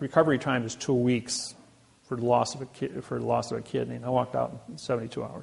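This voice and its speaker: Very fast speech with a Midwestern American accent. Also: man. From US Midwest, Indiana. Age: 60s. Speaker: seminar lecturer. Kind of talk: lecture; personal story.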